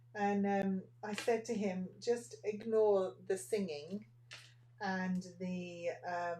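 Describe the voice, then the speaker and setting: A woman's dark, mellow voice at a medium pitch, with an English accent, ordinary pitch variation and a very slow pace. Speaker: nail art teacher. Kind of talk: live tutorial. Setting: Facebook livestream at a desk. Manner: soft-spoken, almost whispering. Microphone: microphone far away across the desk.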